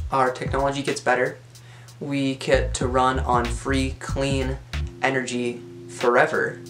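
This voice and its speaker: A man's fairly slow delivery over background music. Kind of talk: casual talk to camera.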